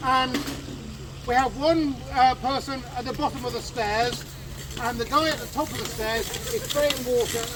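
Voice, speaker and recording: The speaker is loud and fairly slow, with noticeable background noise behind the voice. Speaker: fire brigade reenactor demonstrator. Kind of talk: live outdoor demonstration talk to audience. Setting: outdoors with audience.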